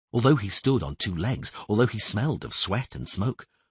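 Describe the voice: Lively intonation in a plain read-aloud delivery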